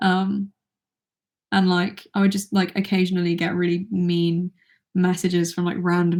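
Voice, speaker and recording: A woman with a British accent speaks at a medium pitch in a monotone, flat intonation. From Britain. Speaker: YouTuber. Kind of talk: livestream Q&A. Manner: quiet; halting.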